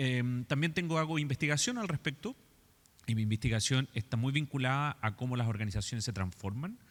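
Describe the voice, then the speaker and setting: A man with a Chilean accent talks at a fairly quick pace with very even loudness. The recording is very clean and silent in the background, with a dry, close sound and no echo. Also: medium pitch for a man, ordinary pitch variation. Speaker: architect and design educator. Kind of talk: lecture.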